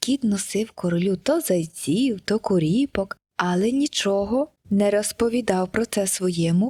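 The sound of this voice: An unforced reading voice over a quiet background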